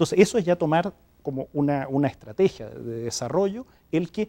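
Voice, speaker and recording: With a Chilean accent, a man talks at a moderate pace with lively intonation, the sound dry and close with no echo. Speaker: development agency director. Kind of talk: TV interview.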